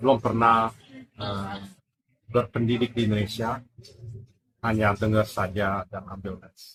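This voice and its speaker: A man's fairly low voice, monotone and flat, at a fairly slow pace with long, frequent pauses and big swings in loudness. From Netherlands. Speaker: Indonesian language learner. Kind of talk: casual chat. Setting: coffee shop.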